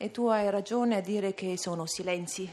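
The woman speaks at a fairly slow pace, her intonation fairly even. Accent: Dolomites. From Val Badia, South Tyrol, Italy. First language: Ladin (speaking Italian). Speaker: poet. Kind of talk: interview. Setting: live broadcast at a literature festival. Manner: halting.

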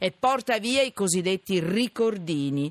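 Very wide pitch swings over a quiet background, with a dry, close sound and no echo. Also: man. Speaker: radio host. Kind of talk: call-in radio talk. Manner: animated.

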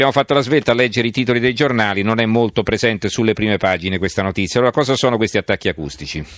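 A man speaks at a very fast pace with hardly any pauses and very even loudness. His medium pitch varies in an ordinary way, and the sound is dry and close with no echo. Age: 50s. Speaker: radio host. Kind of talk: radio interview.

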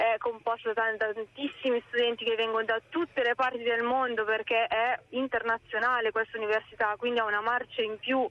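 A woman speaks at a moderate pace in a fairly high pitch, with monotone, flat intonation. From Crema, Lombardy, Italy. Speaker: university student. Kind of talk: radio interview.

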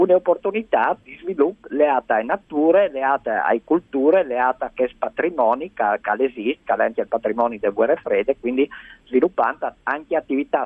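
At a fairly quick pace, a man talks in an ordinary speaking voice with a fairly high pitch. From Friuli, Italy-Slovenia border area. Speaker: nature conservation expert. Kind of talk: radio interview. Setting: phone call.

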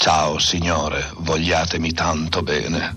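A man puts on a character voice, very deep, low and raspy. He speaks at a fairly slow pace in a monotone, flat delivery. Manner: greeting, warm.

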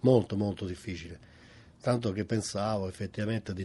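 With a Roman accent, a man speaks in a dark, mellow tone at a fairly low pitch. His voice is somewhat breathy, with fairly even intonation. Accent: Roman Italian. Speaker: retired ship radio operator. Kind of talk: interview reminiscence.

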